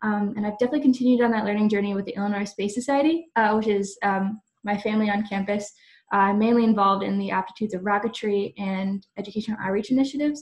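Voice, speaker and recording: A woman talks at a very fast pace, somewhat breathy, with fairly even intonation. The background is quiet. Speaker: aerospace engineering student. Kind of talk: panel discussion. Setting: video webinar. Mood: friendly, smiling. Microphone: video call.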